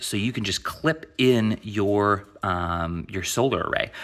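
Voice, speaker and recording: Against a quiet background, a man speaks with a fairly low pitch and a bright, sharp tone. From Maine. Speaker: DIY YouTuber. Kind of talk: product unboxing tutorial. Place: garage. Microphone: phone near.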